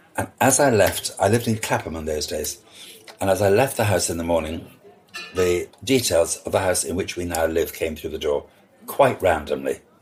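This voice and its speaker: Noticeable noise runs behind a man who speaks at a moderate pace. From Scotland. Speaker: party and events designer. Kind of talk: interview conversation. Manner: animated storytelling; hesitant, repeats words.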